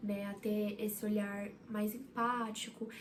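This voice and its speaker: Through noticeable background noise and audible room echo, a woman speaks at a fairly high pitch with fairly even intonation. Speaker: psychology student and vlogger. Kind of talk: casual vlog talk to camera. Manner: halting, with many fillers and repeats.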